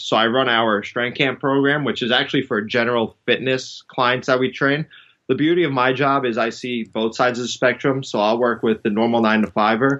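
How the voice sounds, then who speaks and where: At a moderate pace, a man with a bright, sharp tone speaks at a medium pitch, his intonation fairly even and his loudness very even. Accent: New York. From New York City. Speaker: strength and conditioning coach. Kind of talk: podcast interview.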